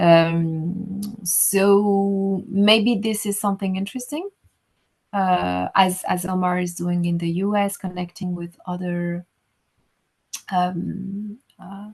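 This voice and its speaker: At a very slow pace, a woman speaks in a somewhat breathy, medium-pitched voice with monotone, flat intonation. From Rwanda, Butare (southern Rwanda). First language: French (also Kinyarwanda). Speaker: writer. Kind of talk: interview conversation. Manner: halting, many fillers.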